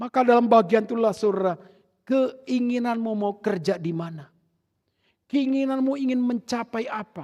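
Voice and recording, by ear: At a moderate pace, the voice has a dark, mellow tone and ordinary pitch variation. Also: man, extremely high pitch for a man.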